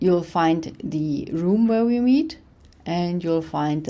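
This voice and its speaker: In a German accent, a woman with a fairly low pitch and ordinary pitch variation speaks fairly slowly in a room with audible echo. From Germany. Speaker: professor. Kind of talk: lecture.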